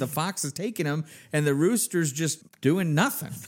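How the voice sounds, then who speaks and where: On a very clean recording with a silent background, a man with a fairly high pitch speaks in a plain, everyday voice. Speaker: podcast host. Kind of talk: interview.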